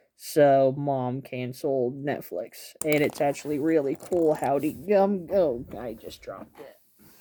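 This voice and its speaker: A quiet voice at a fairly slow pace. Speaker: toy reviewer. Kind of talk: product review. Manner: quiet, hushed; hesitant, many fillers.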